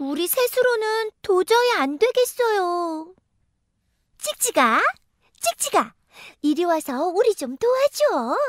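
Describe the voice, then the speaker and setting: A woman's extremely high voice with very wide pitch swings, a very slow pace and long, frequent pauses, in a dry, close sound with no echo. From South Korea. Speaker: voice actor. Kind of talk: children's content narration.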